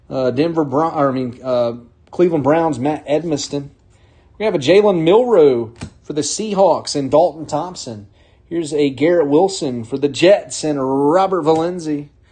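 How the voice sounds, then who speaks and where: A man's fairly high voice with an American accent, dark, mellow tone, ordinary pitch variation and moderate pace. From North Carolina. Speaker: card break host. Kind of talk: live card break commentary.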